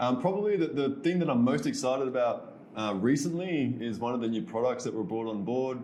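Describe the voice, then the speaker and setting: Audible room echo surrounds a voice with an Australian accent, speaking at a fairly quick pace with ordinary pitch variation. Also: man. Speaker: expat entrepreneur. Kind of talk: podcast interview.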